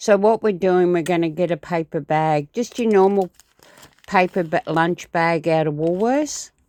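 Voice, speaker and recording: A woman with an Australian accent speaks at a moderate pace, her fairly low voice dark and mellow in tone with ordinary pitch variation. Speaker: crafter. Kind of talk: tutorial. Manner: halting; casual.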